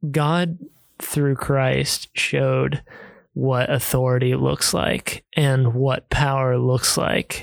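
A man talks at a very slow pace in a dry, close sound with no echo. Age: 20s. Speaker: host's son. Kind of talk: casual chat.

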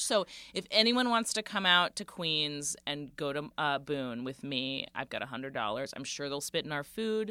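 A woman talks at a moderate pace with a bright, sharp tone and lively intonation, recorded very cleanly against a silent background. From Central Florida. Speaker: comedian. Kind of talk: casual chat.

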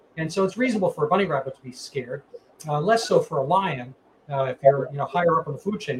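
Very fast pace with lively intonation. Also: man. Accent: American. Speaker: podcast host and physician. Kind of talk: interview. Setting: video call. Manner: halting, many fillers.

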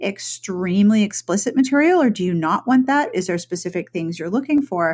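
This woman sounds animated and somewhat breathy. Her pitch is medium. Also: quiet background. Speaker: podcast host. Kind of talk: interview.

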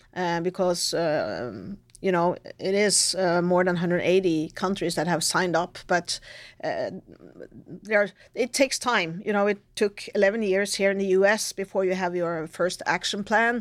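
A woman with a Norwegian accent at a medium pitch, moderate pace and fairly even intonation, in a very clean recording over a silent background. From Norway. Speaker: retired army general. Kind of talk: interview. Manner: halting.

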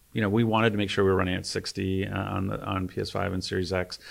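On a very clean recording with a silent background, a man talks at a very fast pace in a fairly low pitch with fairly even intonation. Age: 50s. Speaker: video game studio executive. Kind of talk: interview. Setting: studio.

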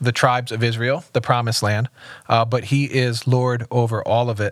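A man talks at a fairly quick pace in a plain, everyday voice at medium pitch, with a dry, close sound and no echo. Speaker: executive pastor. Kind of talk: casual chat and scripture reading.

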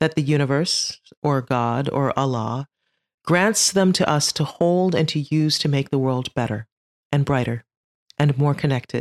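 The speaker has an animated, playful tone at a moderate pace with ordinary pitch variation. The recording is very clean with a silent background and a dry, close sound with no echo. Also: woman. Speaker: podcast host and leadership coach. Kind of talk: stand-up style comedic storytelling, mock commencement speech. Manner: animated, playful, mock-earnest with comic timing.

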